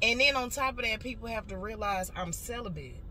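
A woman with a fairly high pitch speaks at a fairly quick pace. Clear background noise and audible room echo fill the recording. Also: ordinary pitch variation.

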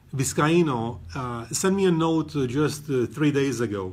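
The speaker is a man with lively intonation. He speaks at a very slow pace. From Romania. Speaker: photographer. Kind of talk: live presentation. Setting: gallery. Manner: halting.

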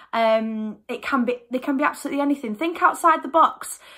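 A raised, projected voice carries lively intonation at a moderate pace. The background is quiet. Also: woman. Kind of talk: tutorial. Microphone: phone near.

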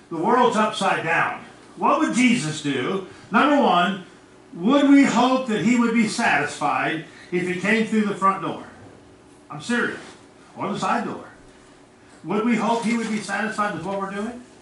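A man with a high voice and ordinary pitch variation speaks at a moderate pace with long, frequent pauses, with audible room echo and light background noise. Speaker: pastor. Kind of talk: sermon. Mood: earnest, sometimes indignant. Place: church.

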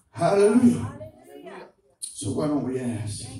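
Amid audible room echo, a man speaks at a moderate pace in an animated tone with lively intonation. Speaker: preacher. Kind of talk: revival sermon with testimony. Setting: church. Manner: animated, exhortatory, call-and-response, punctuated by hallelujahs. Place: church.

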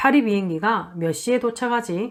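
In an unremarkable speaking voice, a woman talks at a fairly slow pace with ordinary pitch variation, in a very clean recording over a silent background. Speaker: Spanish language teacher. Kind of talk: lecture. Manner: formal.

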